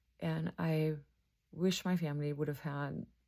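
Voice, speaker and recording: A woman speaks with a German accent in a very deep, low pitch. Her tone is dark and mellow, and her pace is fairly slow. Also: very clean recording, silent background. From Germany. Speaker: mental health counselor. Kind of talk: educational talk to camera.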